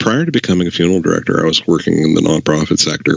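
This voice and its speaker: With a strong Canadian accent, a man with a very deep, low pitch and ordinary pitch variation speaks over noticeable background noise. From Canada, Saskatchewan. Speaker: former funeral director. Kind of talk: casual chat.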